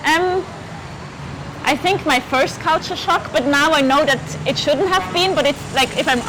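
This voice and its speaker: A woman with a Swiss German accent talks at a moderate pace with lively intonation. Noticeable background noise is present. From German-speaking Switzerland. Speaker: law student and German teacher. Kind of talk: casual interview chat.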